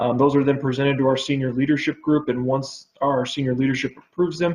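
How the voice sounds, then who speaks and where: Very fast and monotone, a man speaks with flat intonation. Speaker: telecom business development manager presenting to city council. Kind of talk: presentation.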